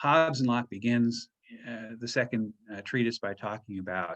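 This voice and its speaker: This man speaks at a moderate pace with a medium pitch and ordinary pitch variation. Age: 60s. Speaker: professor. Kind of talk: lecture. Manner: halting, many fillers and repetitions.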